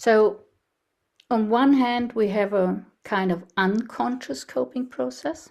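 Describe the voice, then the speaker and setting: In a German accent, the speaker goes very slowly, with very wide pitch swings. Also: woman, fairly high pitch for a woman. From Germany. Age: 70s. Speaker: researcher and speaker on ageing. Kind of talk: presentation. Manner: halting.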